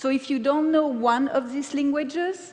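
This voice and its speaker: A woman with a French accent speaks at a high pitch. Noticeable background noise and audible room echo fill the recording. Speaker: paper cutting artist. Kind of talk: conference talk.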